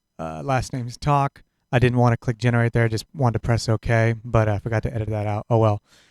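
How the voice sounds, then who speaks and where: Talking at a very fast pace, a man with a medium pitch is heard in a dry, close sound with no echo. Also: very clean recording, silent background. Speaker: gaming video host. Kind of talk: gameplay tutorial voice-over. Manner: casual.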